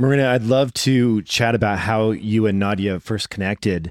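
A man with an unremarkable speaking voice talks at a medium pitch and a fairly slow pace, his intonation lively and the sound dry and close with no echo. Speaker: podcast host. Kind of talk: interview.

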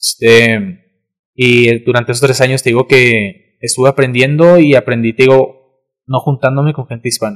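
A man with a plain, everyday voice talks at a moderate pace and medium pitch with fairly even intonation. The sound is dry and close, with no echo. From Mexico, Cuauhtémoc. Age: young. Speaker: content creator. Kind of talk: casual chat.

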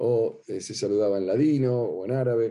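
A man's dark, mellow voice at medium pitch, fairly slow in pace, with ordinary pitch variation. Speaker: rabbi teaching a class. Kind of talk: lecture. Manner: hesitant, many fillers and repetitions.

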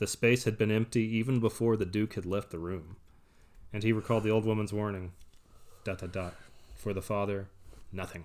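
With an American accent, a man talks at a fairly quick pace and fairly low pitch, his intonation fairly even, with long, frequent pauses on a very clean recording with a silent background. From US South, Texas. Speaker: podcast host reading a book aloud to partner. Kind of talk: casual chat, book recap. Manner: casual, joking.

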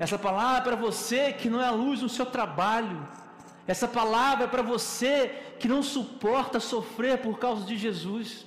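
A man's extremely high-pitched voice at a moderate pace, with very even loudness, fairly even intonation, audible room echo and noticeable background noise. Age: 30s. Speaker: preacher. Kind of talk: sermon.

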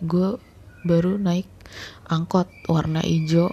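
A woman whispers quietly at a very slow pace, her voice somewhat breathy. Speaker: podcast host. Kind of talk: personal storytelling monologue. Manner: hushed, whispering; halting with many fillers.

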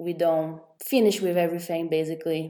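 A woman with a Portuguese accent speaks in a fairly low pitch with a dark, mellow tone. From Brazil. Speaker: podcast host, entrepreneur. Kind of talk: casual interview. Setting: remote recording with two guests.

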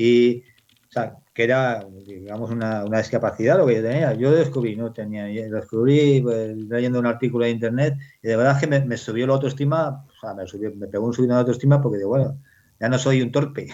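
In a Castilian accent, a man talks at a fairly quick pace with a medium pitch and fairly even intonation. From Spain, Salamanca province. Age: 50s. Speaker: novelist. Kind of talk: interview. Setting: video call. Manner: halting, many repetitions.

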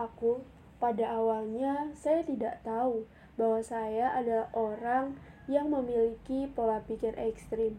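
In an unremarkable speaking voice, a woman speaks at a fairly slow pace with fairly high pitch and fairly even intonation. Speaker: audiobook narrator. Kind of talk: audiobook reading of a memoir, calm literary narration. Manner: measured, soft, introspective, changes tone for quoted psychiatrist dialogue.

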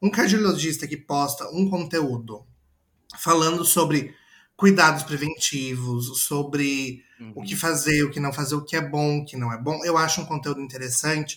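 A man with a strong interior São Paulo accent, fairly high in pitch, at a moderate pace, with ordinary pitch variation and big swings in loudness. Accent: caipira rolled R, strong. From interior of São Paulo state, Brazil. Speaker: advertising professional. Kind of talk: casual chat.

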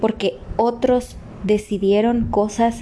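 The woman's voice sits fairly high. Her intonation is monotone and flat. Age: 30s. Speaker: motivational podcaster. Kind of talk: motivational monologue.

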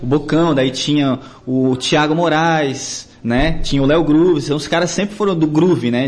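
Noticeable background noise surrounds a man speaking. His pace is moderate, with ordinary pitch variation. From Joinville, Santa Catarina, Brazil (born Florianópolis). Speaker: musician, worship leader. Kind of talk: casual interview. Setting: studio.

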